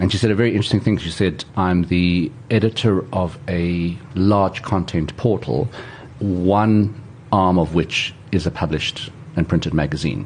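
A man talks in a very deep, low pitch with ordinary pitch variation. Noticeable background noise runs behind him. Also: moderate pace. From South Africa, Pretoria. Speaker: trend analyst. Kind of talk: interview conversation.

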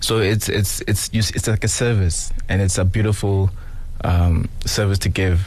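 Over noticeable background noise, a man speaks at a fairly slow pace with very even loudness and monotone, flat intonation. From Johannesburg, South Africa. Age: 30s. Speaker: talent manager. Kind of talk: radio interview. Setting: studio.

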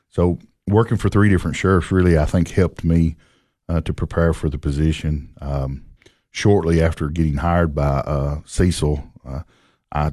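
A man speaks in a very deep, low voice with a dark, mellow tone. His moderate pace and fairly even intonation come over a quiet background. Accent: Tennessee. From Tennessee, Clay County. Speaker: county sheriff. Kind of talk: radio interview. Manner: halting.

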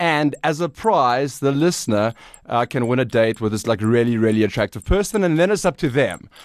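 A man with an ordinary speaking voice talks at a fairly quick pace with lively intonation, sounding dry and close with no echo over a quiet background. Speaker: radio creative. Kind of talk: casual brainstorm chat.

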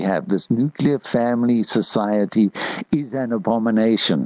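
Noticeable background noise sits behind a man's voice. He keeps a moderate pace with ordinary pitch variation. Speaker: radio host. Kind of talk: talk radio monologue. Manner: conversational.

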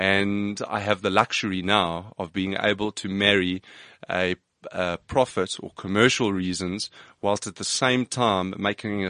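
Against a quiet background, a bright, sharp voice speaks in a flat monotone, the sound dry and close with no echo. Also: man. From South Africa, Johannesburg. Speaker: business founder and CEO. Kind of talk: interview. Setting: studio. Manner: repeats words, restarts sentences.

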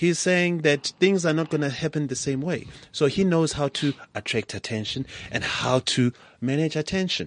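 At a moderate pace, a man with an unremarkable speaking voice talks at a fairly high pitch with ordinary pitch variation, recorded dry and close with no echo. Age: young. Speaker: entrepreneur. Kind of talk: interview. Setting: studio.

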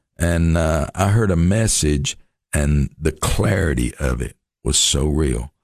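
Very slow and very even in loudness, a man speaks in a very deep, low voice with vocal fry and ordinary pitch variation. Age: 60s. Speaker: missions pastor. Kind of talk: radio interview.

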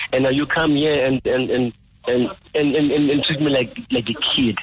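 His voice comes across as somewhat breathy. The man talks with a fairly high pitch. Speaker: veteran musician and protester. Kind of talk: phone interview. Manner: halting.

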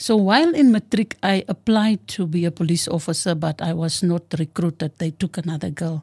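The voice has a dark, mellow, somewhat breathy tone and ordinary pitch variation. It moves at a moderate pace with hardly any pauses, in a dry, close sound with no echo. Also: woman, fairly low pitch for a woman. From South Africa, Western Cape (George). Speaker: retired police officer. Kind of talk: interview, personal life story.

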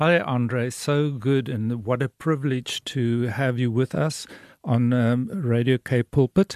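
A man's medium-pitched voice with a dark, mellow tone and ordinary pitch variation, at a very slow pace, with a dry, close sound, no echo, and a quiet background. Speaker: radio host. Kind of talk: radio interview.

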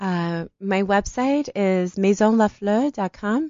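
A woman's medium-pitched voice with a Detroit accent. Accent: American, Detroit. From US Midwest, Detroit. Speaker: art curator. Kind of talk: interview.

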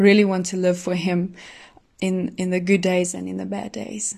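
Woman at a medium pitch with a South African accent, quiet background. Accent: Afrikaans South African English. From South Africa, Pretoria. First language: Afrikaans. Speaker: professional athlete. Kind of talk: testimony. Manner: hesitant, filler-heavy.

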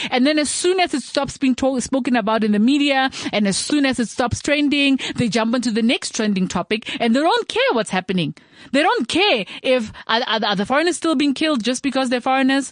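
Her voice is high for a woman, moving at a fairly quick pace with lively intonation and very even loudness. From South Africa, Tswana. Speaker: radio podcast host. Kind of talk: casual talk show monologue.

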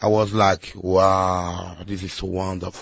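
Somewhat breathy, a man with a Congolese accent speaks at a fairly slow pace. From Congo and Angola. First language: Lingala. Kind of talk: testimony. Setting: radio studio.

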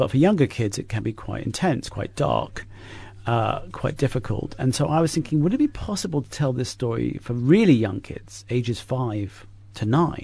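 A man's dark, mellow, medium-pitched voice with vocal fry and an English accent, at a moderate pace over a quiet background. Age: 50s. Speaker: author. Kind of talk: interview. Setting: studio.

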